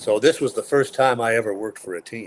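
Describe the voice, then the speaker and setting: Music can be heard in the background. The talking goes along at a fairly quick pace. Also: man. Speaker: radio play-by-play sports announcer. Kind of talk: interview answer, conversational. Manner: relaxed, chatty, humorous.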